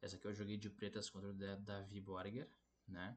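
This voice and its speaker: A man talks at a moderate pace with fairly low pitch. His intonation is monotone and flat. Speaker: chess player and YouTuber. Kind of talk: chess game analysis video. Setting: borrowed laptop, tournament lodging.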